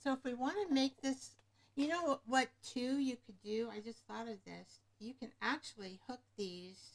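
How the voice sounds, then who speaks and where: A high-pitched woman at a fairly slow pace, with lively intonation and big swings in loudness. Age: 70s. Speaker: craft livestreamer, retired nurse. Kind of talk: live craft tutorial. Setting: livestream at craft desk. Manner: casual, thinking aloud.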